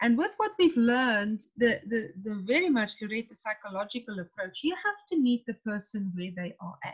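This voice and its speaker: A woman with a South African accent speaks at a fairly high pitch and a moderate pace, somewhat breathy. Her intonation is lively and her loudness swings widely. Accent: Afrikaans-accented English. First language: Afrikaans. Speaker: tent pegging coach, coach developer. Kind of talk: webinar discussion. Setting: video call webinar.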